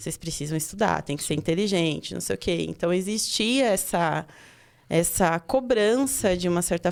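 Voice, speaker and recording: A woman of medium pitch talks at a moderate pace. Her intonation is lively. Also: very clean recording, silent background. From Pernambuco, Brazil. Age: 30s. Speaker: teacher and education researcher. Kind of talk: podcast interview.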